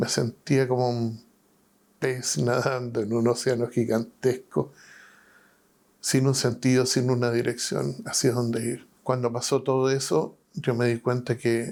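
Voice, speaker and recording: A man with a medium-pitched voice speaks at a fairly slow pace with fairly even intonation. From Chile, Valparaíso. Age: 60s. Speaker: pastor and prison chaplain. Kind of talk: testimony. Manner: halting.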